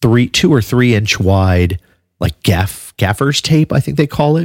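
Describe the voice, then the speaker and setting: This man's pitch swings very widely as he speaks at a moderate pace in a relaxed, somewhat breathy tone. The sound is dry and close, with no echo. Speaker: podcast host and bass player. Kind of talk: casual podcast chat. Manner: relaxed, conversational, with fillers.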